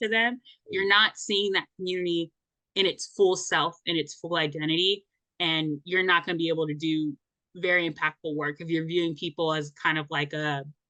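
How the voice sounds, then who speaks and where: In a plain, everyday voice, a woman talks at a moderate pace with a fairly low pitch and fairly even intonation. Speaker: podcast host. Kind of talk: casual podcast interview questions.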